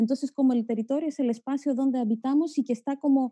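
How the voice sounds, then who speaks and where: Recorded dry and close with no echo, a woman speaks at a fairly quick pace with a high pitch and a dark, mellow tone. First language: Greek (speaking Spanish). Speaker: geographer, academic. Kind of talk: panel discussion talk. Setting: video call. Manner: halting.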